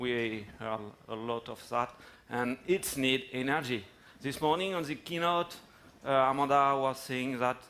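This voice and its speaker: A man with a French accent, medium pitch, fairly slow delivery. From France. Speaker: tech company executive. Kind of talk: conference talk. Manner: halting, many fillers.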